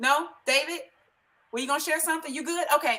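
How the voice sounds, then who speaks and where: A woman speaks in an animated tone with a raised, projected voice. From Chicago, inner city. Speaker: live stream host, home business promoter. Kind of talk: casual group livestream chat. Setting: Facebook live video call.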